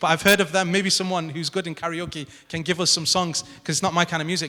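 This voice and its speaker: Speaking at a fairly quick pace, the man uses a raised, projected voice with a bright, sharp tone. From northern England. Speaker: academic panelist. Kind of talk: panel talk. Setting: stage with audience in a grand hall. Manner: fast.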